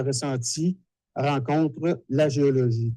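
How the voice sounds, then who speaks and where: A man with a fairly high pitch has a dark, mellow tone and ordinary pitch variation. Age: 60s. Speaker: dowser and TV technician. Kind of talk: lecture. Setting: conference hall with audience.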